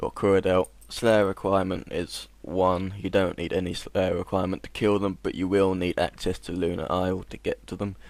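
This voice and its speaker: With hardly any pauses, the voice moves at a moderate pace in a monotone, flat intonation on a very clean recording with a silent background. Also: man, very deep, low pitch for a man. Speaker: gaming video creator. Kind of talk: tutorial; casual chat.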